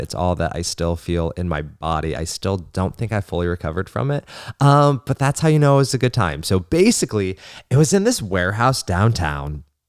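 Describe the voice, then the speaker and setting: In a very clean recording with a silent background and a dry, close sound free of echo, a man talks at a fairly quick pace in a fairly low pitch, his animated tone marked by very wide pitch swings. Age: 20s. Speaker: podcast host. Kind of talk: casual solo chat.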